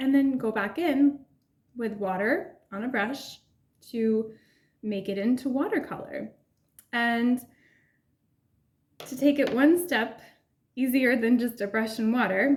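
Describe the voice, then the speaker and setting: A woman speaks with a high pitch at a fairly slow pace. Her pitch varies in an ordinary way, and she takes long, frequent pauses. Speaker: urban sketching artist. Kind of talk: casual tutorial talk to camera.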